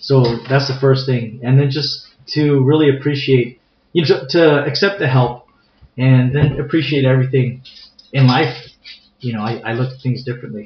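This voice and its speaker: A man with a medium-pitched, somewhat breathy voice talks at a moderate pace with fairly even intonation and long, frequent pauses, with audible echo in the room. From San Diego, California. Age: 40s. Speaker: martial arts instructor. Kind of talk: interview. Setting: recorded live in Escondido, near San Diego.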